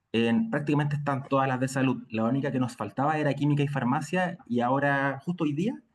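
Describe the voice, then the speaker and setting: A man with a Chilean accent speaks at a fairly high pitch, with ordinary pitch variation and hardly any pauses. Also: fairly quick pace. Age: 30s. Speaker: nursing lecturer. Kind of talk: lecture.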